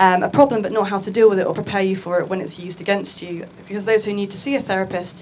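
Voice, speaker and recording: In an English accent, a woman talks at a very fast pace with monotone, flat intonation over light background noise. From England. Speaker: futures and art researcher; conference panelist. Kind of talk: conference talk. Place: hall. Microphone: handheld.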